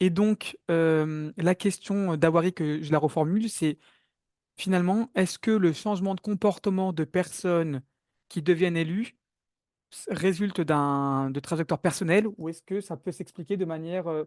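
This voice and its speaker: A man with a high pitch and fairly even intonation is recorded dry and close with no echo against a quiet background. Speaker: webinar moderator. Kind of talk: online webinar moderation. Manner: fast.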